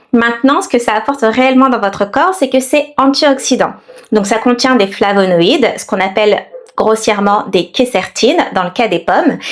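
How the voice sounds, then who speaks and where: A woman with a fairly high pitch speaks at a moderate pace with lively intonation over noticeable background noise. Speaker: naturopath, health vlogger. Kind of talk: tutorial.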